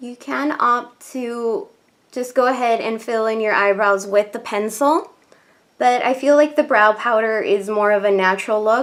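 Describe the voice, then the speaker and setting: A woman speaks at a moderate pace. Her pitch is fairly high and varies in an ordinary way. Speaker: beauty vlogger. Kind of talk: makeup tutorial. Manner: soft-spoken.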